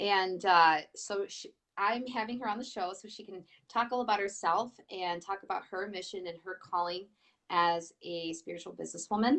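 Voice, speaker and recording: A woman speaks at a moderate pace in a Michigan accent, her pitch medium with ordinary variation. Her loudness swings widely. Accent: nasal Michigan. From Michigan, US Midwest. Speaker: talk show host, priestess and healer. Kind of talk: live-stream interview. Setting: Facebook live stream.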